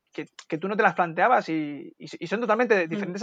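This man talks at a fairly quick pace, his high-pitched voice carrying lively intonation. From Berber (North African) heritage. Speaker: AI researcher. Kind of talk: interview.

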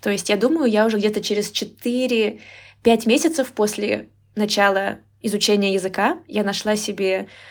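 On a very clean recording with a silent background, a woman of medium pitch speaks at a moderate pace with ordinary pitch variation. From Moscow region, Russia. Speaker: Russian language teacher. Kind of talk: casual interview.

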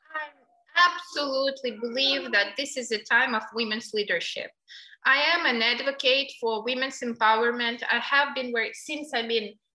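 The speaker has a Ukrainian accent. The pace is moderate, with ordinary pitch variation. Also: woman, high pitch for a woman. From Ukraine. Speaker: NGO director. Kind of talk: interview.

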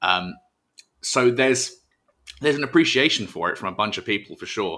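Recorded very cleanly against a silent background, a man with an English accent speaks in a bright, sharp tone with ordinary pitch variation. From England. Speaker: professional wrestler. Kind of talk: podcast interview. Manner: hesitant, repeats words.

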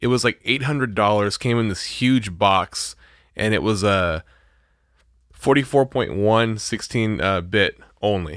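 A man talks at a fairly slow pace with ordinary pitch variation, in a normal speaking voice. The recording is very clean, with a silent background. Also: fairly low pitch for a man. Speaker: podcast host, music producer. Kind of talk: casual chat. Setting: home studio.

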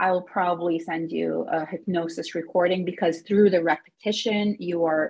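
At a moderate pace, a woman speaks with an American accent in a somewhat breathy voice. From Egyptian American, lived in several countries. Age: 30s. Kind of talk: interview.

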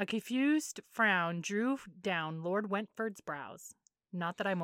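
The text is read aloud plainly. Nothing much stirs behind it.

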